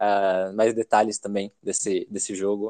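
Dry, close sound with no echo as a man talks at a moderate pace. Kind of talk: casual interview chat.

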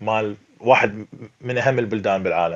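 A man is speaking. He talks with an Iraqi accent. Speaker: movie critic. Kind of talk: casual chat.

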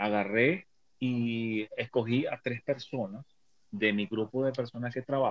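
Speech comes at a very slow pace with ordinary pitch variation, the sound dry and close with no echo. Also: man. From Venezuela. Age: 50s. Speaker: tarot reader and motivational coach. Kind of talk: casual chat. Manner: halting.

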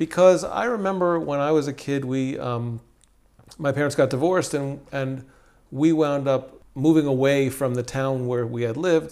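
A man's fairly high voice, a normal speaking voice with ordinary pitch variation. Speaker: podcast host. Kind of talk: interview conversation. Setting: in-person recording in Jerusalem.

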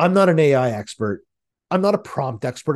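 A man talks at a fairly quick pace in an animated tone, his fairly high pitch swinging very widely. The background is quiet. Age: 40s. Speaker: podcast host and marketing consultant. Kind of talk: solo podcast monologue.

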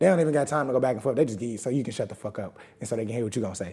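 The speech moves at a very fast pace, its dark, mellow tone carried by lively intonation. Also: man. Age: 20s. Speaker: podcast co-host. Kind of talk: casual chat.

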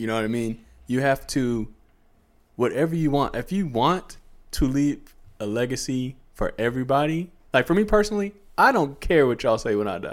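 On a very clean recording with a silent background, a man with an American accent and an unremarkable speaking voice talks at a moderate pace and medium pitch with lively intonation. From US suburbs. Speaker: podcast co-host. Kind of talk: casual chat.

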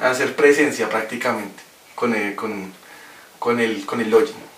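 A man talks at a moderate pace with very wide pitch swings. Audible room echo and noticeable background noise fill the recording. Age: 20s. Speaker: podcast guest. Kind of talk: casual chat. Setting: in person in studio.

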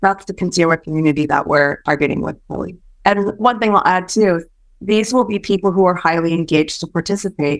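The speaker has a Californian accent. The pace is fairly quick, with ordinary pitch variation. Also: woman. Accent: general American, grew up in California. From Malaysia, then San Francisco Bay Area. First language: Hokkien. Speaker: startup co-founder. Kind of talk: casual interview.

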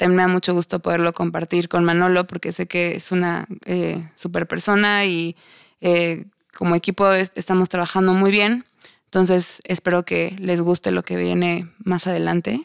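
With a Mexican accent, a woman speaks in a fairly low, monotone, flat voice on a very clean recording with a silent background. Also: moderate pace, dry, close sound with no echo. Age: 20s. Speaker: podcast host. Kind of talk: casual monologue.

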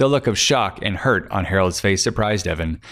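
Pitched fairly low with ordinary pitch variation, the man uses an ordinary speaking voice. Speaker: author and podcast host. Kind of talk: reading aloud noir detective fiction. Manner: dry, hard-boiled narration with character voices; measured, formal in Harold's lines.

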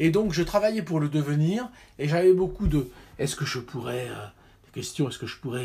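Moderate in pace, the speech has ordinary pitch variation. There is a somewhat breathy quality to it. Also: man. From France. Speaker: orchestral timpanist. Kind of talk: casual chat. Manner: halting.

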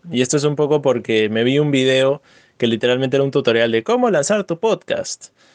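A man with an ordinary speaking voice, fairly high in pitch with ordinary pitch variation, at a fairly quick pace and very even loudness, with a dry, close sound and no echo. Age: 20s. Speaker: podcast co-host. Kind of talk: casual chat.

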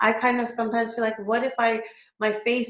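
A woman with a normal speaking voice, fairly high in pitch, at a moderate pace. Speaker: podcast host. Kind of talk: interview. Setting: video call.

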